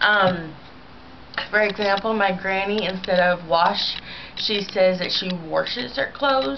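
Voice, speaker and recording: A woman at a medium pitch with a slight St. Louis accent, a fairly slow pace, ordinary pitch variation and noticeable background noise. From US Midwest, St. Louis, Missouri. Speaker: vlogger. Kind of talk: casual video response monologue. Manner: rambling, many filler ums.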